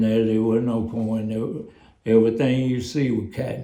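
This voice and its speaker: Dark, mellow tone in a man's voice of medium pitch, the intonation fairly even. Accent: Texas. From East Texas. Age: 80s+. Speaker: former plantation field worker. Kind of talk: interview answer.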